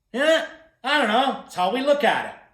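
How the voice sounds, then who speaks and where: Music plays in the background and audible room echo surrounds a man speaking in an animated tone with very wide pitch swings. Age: 60s. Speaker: motivational speaker. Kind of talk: keynote talk to camera. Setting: recorded video.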